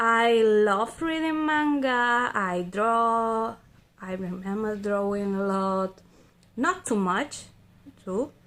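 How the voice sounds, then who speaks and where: In a Spanish accent, a woman with a fairly high pitch speaks very slowly with lively intonation and long, frequent pauses, in a very clean recording with a silent background. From Spain. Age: 30s. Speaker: vlogger. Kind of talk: casual monologue. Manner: halting, hesitant.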